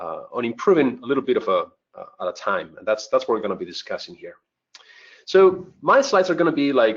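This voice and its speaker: With a Spanish accent, a man talks at a fairly quick pace, his loudness swinging widely. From southern Spain (Malaga). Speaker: cybersecurity instructor. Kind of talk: webinar presentation, personal story. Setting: online webcast.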